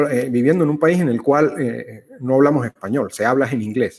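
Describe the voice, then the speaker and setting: This is a man speaking at a fairly quick pace. His pitch variation is ordinary. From Venezuela. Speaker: conversation series host. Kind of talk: casual conversation. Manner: halting, with fillers.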